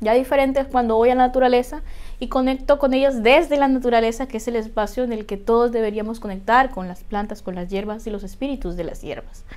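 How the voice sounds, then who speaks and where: Rushing along at a very fast pace, a woman speaks in a high pitch. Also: ordinary pitch variation, big swings in loudness. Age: 30s. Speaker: witchcraft YouTuber and author; spiritual practice vlogger. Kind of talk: tutorial. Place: home room.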